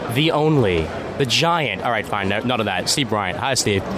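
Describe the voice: Music plays behind a man speaking at a moderate pace in a medium pitch. His intonation is lively and his loudness very even.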